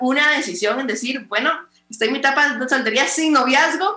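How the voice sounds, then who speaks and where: Using a raised, projected voice, a woman with a high pitch speaks with ordinary pitch variation. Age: 20s. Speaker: pastor and radio host. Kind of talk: casual interview.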